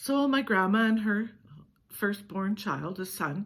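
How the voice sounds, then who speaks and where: Somewhat breathy, a woman's voice sits at a medium pitch with ordinary variation. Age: 70s. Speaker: storyteller vlogger. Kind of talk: personal storytelling.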